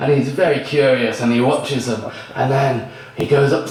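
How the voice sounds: In a natural reading voice, the speaker keeps the intonation fairly even.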